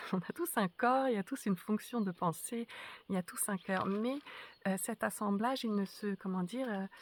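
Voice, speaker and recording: A woman at a moderate pace, with ordinary pitch variation, in a very clean recording over a silent background. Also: medium pitch for a woman. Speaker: spiritual teacher. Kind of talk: spoken reflection to camera. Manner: halting, many hesitations.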